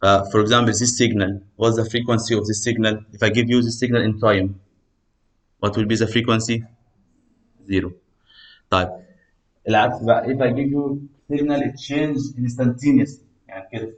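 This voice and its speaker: A man at a medium pitch with an Arabic accent, fairly even intonation, and long, frequent pauses. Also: moderate pace. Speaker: university lecturer. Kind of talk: lecture. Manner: code-switching English and Egyptian Arabic.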